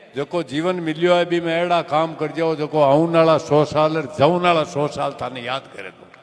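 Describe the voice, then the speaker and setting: Against noticeable background noise, a man with a fairly high pitch speaks at a moderate pace with hardly any pauses. His intonation is fairly even, though his loudness swings widely. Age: 70s. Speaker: community elder, speaker at a clan gathering. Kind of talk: public speech at community gathering.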